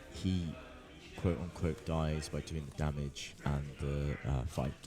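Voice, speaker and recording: Spoken softly, the voice has a dark, mellow tone. The pace is very slow and the intonation fairly even. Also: man, very deep, low pitch for a man. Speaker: tournament commentator. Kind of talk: live commentary. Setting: tournament venue near players. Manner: soft-spoken.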